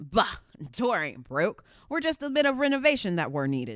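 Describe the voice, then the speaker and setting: A gruff, put-on character voice at a fairly high pitch is raised and projected, swinging very widely in pitch at a moderate pace on a very clean recording with a silent background. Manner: gruff, unconcerned.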